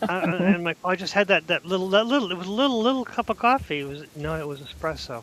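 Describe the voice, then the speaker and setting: Over noticeable background noise, a man with a Boston accent talks very fast in a high voice with lively intonation, hardly any pauses and big swings in loudness, the sound dry and close with no echo. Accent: thick Boston. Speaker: podcast co-host. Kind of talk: casual chat. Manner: animated.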